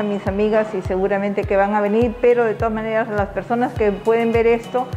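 A woman's fairly high, flat, monotone voice at a moderate pace, with faint music in the background. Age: 60s. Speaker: patient. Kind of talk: testimony.

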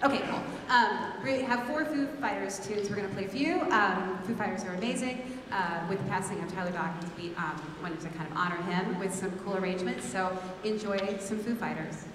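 A woman speaks at a fairly quick pace with ordinary pitch variation, over noticeable background noise and audible room echo. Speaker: program director or host. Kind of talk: stage announcement to the audience. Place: stage. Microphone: handheld.

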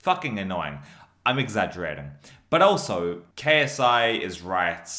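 A male speaker keeps a moderate pace with quiet all around. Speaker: reaction streamer. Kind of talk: casual commentary. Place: home room.

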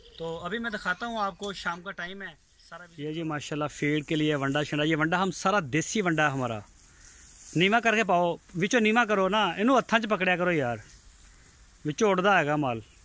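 Talking at a fairly slow pace, a man with a high pitch and a bright, sharp tone uses lively intonation, the sound dry with no echo. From Pakistan, Punjab (Bahawalpur district); Punjab, Pakistan. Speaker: cattle farmer and vlogger. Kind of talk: walkthrough video tour with sales pitch. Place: farm. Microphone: phone near.

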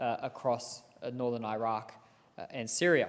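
At a fairly slow pace, a man speaks in a monotone, flat way with an Australian accent. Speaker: politician. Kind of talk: parliamentary speech. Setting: parliament chamber. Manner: formal. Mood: serious, earnest. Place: hall.

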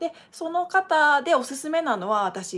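Her pitch swinging very widely, a woman speaks in an animated tone. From Japan. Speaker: dancer and channel host; channel host. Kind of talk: live stream casual talk. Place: home room. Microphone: webcam.

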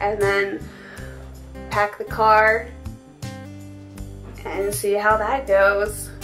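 A woman at a very slow pace, with faint music in the background. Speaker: travel vlogger. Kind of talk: casual vlog chat. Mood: cheerful, chatty. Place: home room. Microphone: phone near.

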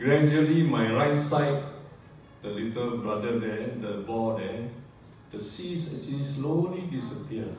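A man talks at a fairly slow pace with ordinary pitch variation. Strong room echo and light background noise are present. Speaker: retiree giving product testimonial. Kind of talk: testimony. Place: hall.

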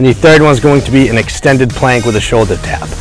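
Faint background music and a dry sound with no echo. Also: man. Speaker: personal trainer. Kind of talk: tutorial. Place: open country. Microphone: lapel.

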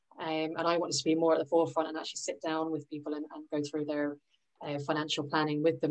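Over a quiet background, a woman with a very deep, low voice speaks very fast in a monotone, flat way. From London, England. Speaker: financial advisor; presenter. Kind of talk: presentation to a workshop group. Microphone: video call.

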